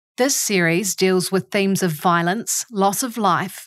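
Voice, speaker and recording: Speaking at a fairly slow pace, a woman with a New Zealand accent uses a medium pitch. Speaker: podcast host. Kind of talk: interview; scripted narration.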